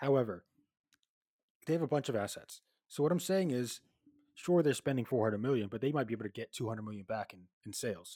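A man at a medium pitch and very fast pace, with lively intonation and long, frequent pauses, in a dry, close sound with no echo and a very clean recording with a silent background. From England. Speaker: podcast co-host. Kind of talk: casual chat.

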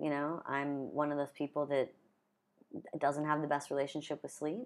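A woman with a Pacific Northwest accent speaks in a very deep, low voice. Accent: American, Pacific Northwest. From US Pacific Northwest (Gresham, near Portland, Oregon). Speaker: freelance artist and marketer. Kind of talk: casual chat.

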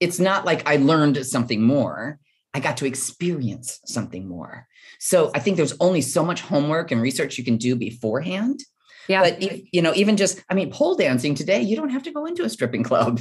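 A woman with an American accent speaks at a fairly quick pace in a very deep, low, somewhat breathy voice. Her pitch swings very widely, and the background is quiet. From US Midwest. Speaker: author and bodybuilder. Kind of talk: interview. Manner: halting.

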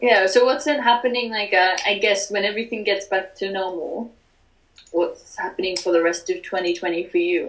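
A woman talks at a moderate pace and medium pitch. Her pitch varies in an ordinary way. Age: 20s. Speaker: podcast host. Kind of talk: interview.

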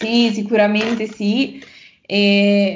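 Audible room echo surrounds a woman with a medium pitch. She talks at a very slow pace in a monotone, flat intonation. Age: 20s. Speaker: language teacher and university student. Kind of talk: interview.

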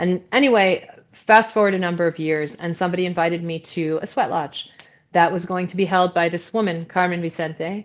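At a moderate pace, a plain, everyday voice with an American accent speaks in fairly even intonation. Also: woman. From New York. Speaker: movement facilitator and ceremonialist. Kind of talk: interview.

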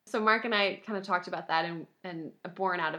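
Here a woman talks at a medium pitch in a normal speaking voice. The background is quiet. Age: 20s. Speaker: high school English teacher. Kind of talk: casual interview conversation.

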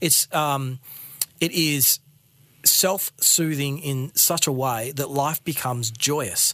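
A man with a fairly high pitch and a bright, sharp tone speaks very slowly, his pitch varying in an ordinary way. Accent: Australian. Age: 40s. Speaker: ex-monk business owner and coach. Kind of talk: interview conversation.

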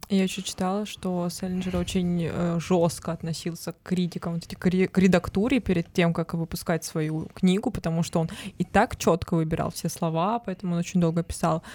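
A woman uses a normal speaking voice with a fairly low pitch at a fairly quick pace. Her intonation is fairly even, and the sound is dry and close with no echo. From Altai Krai, Russia. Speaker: podcast co-host. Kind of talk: casual chat.

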